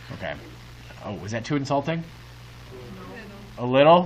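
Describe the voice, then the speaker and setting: Against noticeable background noise and audible room echo, a man talks at a fairly quick pace. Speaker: high school math teacher. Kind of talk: classroom lecture. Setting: classroom with students. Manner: animated; fast.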